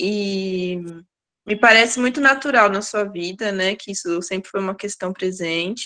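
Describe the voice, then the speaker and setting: A woman talks at a fairly slow pace with a medium pitch. Her tone is bright and sharp. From Campinas, interior of São Paulo, Brazil. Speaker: workshop participant asking a question. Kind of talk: question in an online seminar. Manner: halting, many fillers and repetitions.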